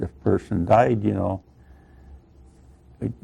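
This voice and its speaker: This man's voice sits fairly low, with vocal fry, a dark, mellow tone and an American accent. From Iowa, USA. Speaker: Korean War veteran and former prisoner of war. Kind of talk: oral history interview answer.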